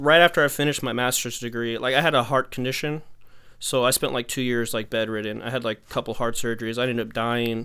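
A man speaks with an American accent in a bright, sharp tone. His pace is fairly quick and his intonation fairly even. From Texas. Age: 30s. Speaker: aspiring music producer and YouTuber. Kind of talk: casual consultation chat.

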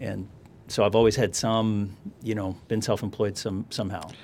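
A man's fairly low voice with a Californian accent, at a moderate pace, with fairly even intonation. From US West Coast, Los Angeles area. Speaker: financial planner. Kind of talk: interview conversation. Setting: studio.

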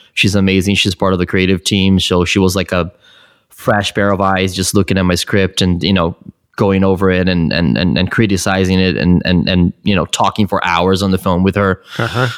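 A man's very deep, low voice at a fairly quick pace, monotone and flat, with very even loudness. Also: dry, close sound with no echo. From Brazil, São Paulo. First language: Portuguese. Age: 30s. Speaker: film director. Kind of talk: casual interview chat. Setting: remote call.

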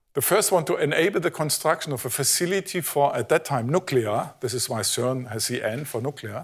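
A man's somewhat breathy voice, fairly quick, with lively intonation and hardly any pauses. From Germany. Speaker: physicist. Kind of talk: lecture. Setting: stage with audience.

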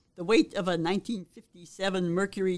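The speaker is a woman with an American accent. She keeps a moderate pace. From Arizona, Phoenix. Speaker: former community radio DJ. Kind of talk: interview.

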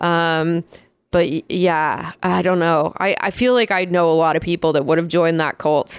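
In a very clean recording with a silent background, a woman with an unremarkable speaking voice talks at a moderate pace and fairly low pitch, her intonation fairly even and her loudness very even. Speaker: comedy podcast host. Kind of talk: casual chat.

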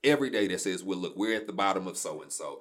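With an American accent, this speaker's intonation is lively. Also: man. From Shreveport, Louisiana. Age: 30s. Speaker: media company owner. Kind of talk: casual interview.

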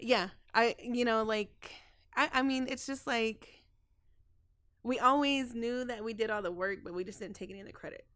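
With an American accent, a woman speaks at a moderate pace in a fairly high, bright and sharp voice, with ordinary pitch variation, big swings in loudness and long, frequent pauses. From Texas. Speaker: community outreach coordinator. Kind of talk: casual interview. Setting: studio. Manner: halting.

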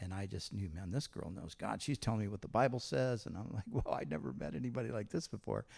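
A fairly low man's voice with vocal fry, very wide pitch swings, a very fast pace and hardly any pauses, in a very clean recording with a silent background. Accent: American. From Southern California, Huntington Beach area. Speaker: pastor. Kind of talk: church interview. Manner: casual.

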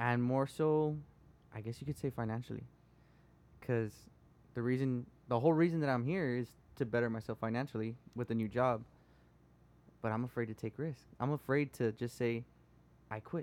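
A man with an American accent, medium pitch, a fairly quick pace and long, frequent pauses. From Texas, Rio Grande Valley (Edinburg). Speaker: guest sharing life story. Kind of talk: casual chat.

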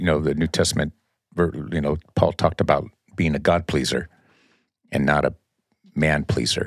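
With vocal fry and a very deep, low pitch, a man talks at a fairly quick pace in fairly even intonation. Long, frequent pauses break his speech, and the sound is dry and close with no echo. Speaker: church elder and emergency dispatcher. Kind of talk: casual chat.

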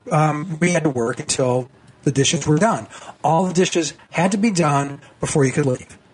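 Over noticeable background noise, a man talks at a fairly quick pace with a fairly high-pitched voice. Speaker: political cartoonist. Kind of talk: radio interview. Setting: phone call.

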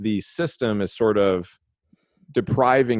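A man speaks with an American accent. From Los Angeles, then Texas. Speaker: podcast host. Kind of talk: casual interview.

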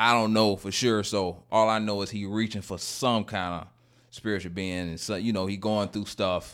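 In a very clean recording over a silent background, a man speaks with a Southern US accent. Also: fairly low pitch for a man, moderate pace. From Florida. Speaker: podcast host. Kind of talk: casual chat. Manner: animated, pepped up.

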